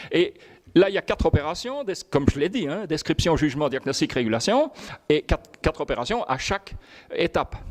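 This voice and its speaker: Very wide pitch swings mark this fairly quick delivery, recorded with a dry, close sound with no echo. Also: man, high pitch for a man. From Belgium. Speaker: professor. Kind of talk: lecture. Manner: fast; halting.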